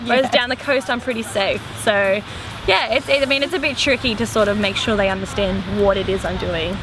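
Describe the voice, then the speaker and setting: Over noticeable background noise, the speaker talks at a fairly quick pace in an Australian accent with ordinary pitch variation. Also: woman, fairly high pitch for a woman. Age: 20s. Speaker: DJ and schoolteacher. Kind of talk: interview.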